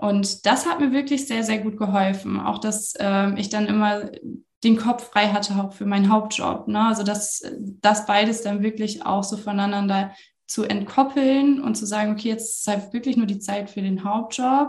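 This woman speaks at a moderate pace with a fairly high pitch, fairly even intonation and a somewhat breathy quality. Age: 30s. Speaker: social media consultant. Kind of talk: interview.

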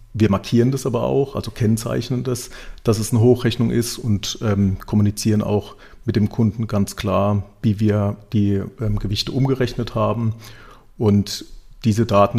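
The recording is very clean, with a silent background. A man with a fairly low pitch, a dark, mellow tone, and vocal fry speaks at a fairly quick pace with fairly even intonation. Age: 40s. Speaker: digitalization and sustainability manager. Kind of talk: podcast interview.

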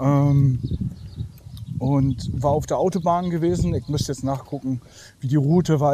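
A man in a Berlin accent, fairly high in pitch, with a dark, mellow tone, a somewhat breathy quality, and a fairly slow pace. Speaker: listener sending voice message. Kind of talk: testimony. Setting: recorded voice message.

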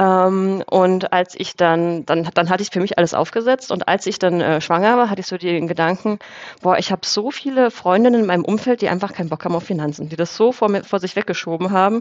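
Fairly quick delivery in an ordinary speaking voice, the pitch moving in an ordinary way. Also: woman, medium pitch for a woman. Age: 30s. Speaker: finance author and coach. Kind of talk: casual interview.

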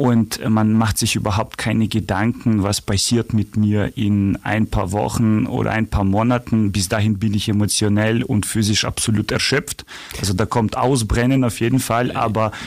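A man's fairly low voice in a Ukrainian accent, with very even loudness and hardly any pauses. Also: fairly even intonation, moderate pace. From Ukraine. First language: Ukrainian (speaking German). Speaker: charity association vice chair. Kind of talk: interview.

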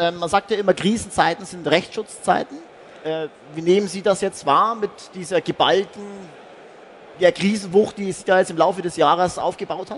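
This man speaks at a moderate pace with a high pitch, fairly even intonation, and long, frequent pauses. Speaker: event talk host. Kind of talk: interview. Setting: stage at trade fair.

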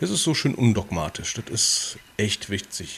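This man has an ordinary speaking voice at a medium pitch, with lively intonation. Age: 30s. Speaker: podcast co-host, civil servant. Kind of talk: casual chat. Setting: livestream video call.

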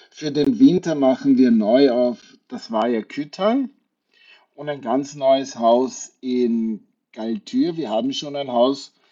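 An unremarkable speaking voice carries lively intonation. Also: man. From Austria, Wachau (Lower Austria). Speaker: hotel group sales executive. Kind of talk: radio interview.

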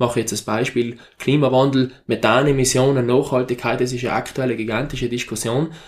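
At a fairly quick pace and with hardly any pauses, a man speaks at medium pitch in a monotone, flat way. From South Tyrol, Italy. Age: 20s. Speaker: mountain farmer and university lecturer. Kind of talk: interview.

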